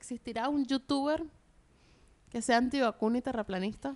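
At a moderate pace, a woman speaks in a high voice with ordinary pitch variation, the sound dry and close with no echo. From Venezuela. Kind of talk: casual chat.

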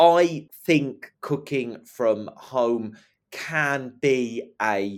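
Recorded very cleanly with a silent background, a man speaks at a medium pitch with lively intonation. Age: 40s. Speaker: professional poet. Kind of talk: casual chat. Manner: animated.

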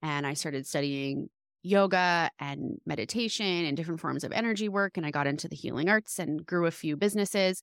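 On a very clean recording with a silent background, a woman uses an ordinary speaking voice, fairly low in pitch, with lively intonation at a fairly quick pace, the sound dry and close with no echo. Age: 30s. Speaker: homeschooling mother and women's guide. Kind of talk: interview.

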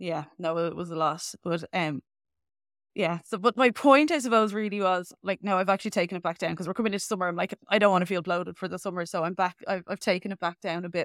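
Speaking very fast, a woman with an Irish accent uses a medium pitch. Her audio is dry and close with no echo, very clean, with a silent background. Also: ordinary pitch variation. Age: 30s. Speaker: podcast host and health coach. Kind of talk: casual interview chat.

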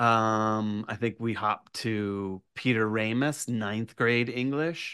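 Over a quiet background, a man with an American accent talks at a very slow pace, with a medium pitch and a bright, sharp tone. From Virginia, US South. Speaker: horror writer. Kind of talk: casual chat. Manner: animated.

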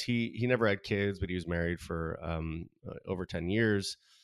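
An American-accented man at a moderate pace with ordinary pitch variation, on a very clean recording with a silent background. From Southern California. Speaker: artist. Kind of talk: interview.

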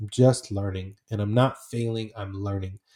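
A man's dark, mellow, somewhat breathy voice on a very clean recording with a silent background. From Portland, Oregon (arrived at 9 from Iraq). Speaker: author and speaker. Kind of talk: casual interview chat.

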